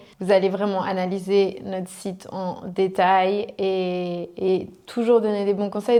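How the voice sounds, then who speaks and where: Here a woman talks at a medium pitch. Her pace is fairly slow. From French-speaking Switzerland, Riviera (Vevey–Montreux). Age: 20s. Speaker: e-commerce entrepreneur. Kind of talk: interview. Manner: hesitant, many fillers.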